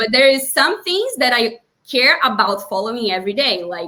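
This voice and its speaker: A woman speaks with a Portuguese accent. Her intonation is lively and her pace moderate. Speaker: time-management consultant. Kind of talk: tutorial.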